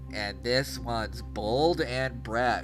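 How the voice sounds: A man's nasal, put-on character voice over music in the background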